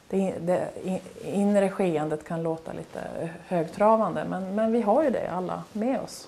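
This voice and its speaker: A woman's dark, mellow voice with vocal fry, ordinary pitch variation and a moderate pace. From Norrbotten, northern Sweden (near Kalix); Norrbotten, Sweden. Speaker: painter. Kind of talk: interview. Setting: artist's studio. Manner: halting. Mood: calm, reflective. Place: home room.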